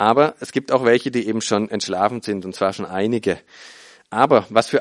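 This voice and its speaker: Against a quiet background, a man with a fairly low pitch and a warm tone talks at a moderate pace with ordinary pitch variation. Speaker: preacher. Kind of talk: sermon. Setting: church with congregation. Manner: earnest, teaching tone, explaining scripture step by step; warm, conversational storytelling with hesitations and repeats.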